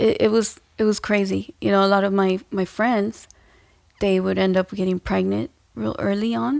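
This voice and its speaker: The recording is dry and close, with no echo at all. On it, a woman talks at a moderate pace. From Los Angeles, Mexican-American family. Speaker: dancer. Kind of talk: casual chat.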